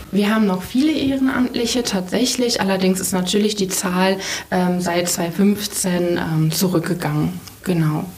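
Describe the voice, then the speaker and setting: There is audible room echo and noticeable background noise as a woman talks at a fairly slow pace. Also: medium pitch for a woman, ordinary pitch variation. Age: 20s. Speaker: refugee shelter deputy manager. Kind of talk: interview. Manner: hesitant, many fillers.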